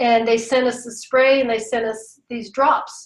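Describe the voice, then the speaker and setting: A woman's fairly high voice at a moderate pace, a normal speaking voice. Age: 60s. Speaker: patient advocate and writer. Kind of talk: webinar presentation.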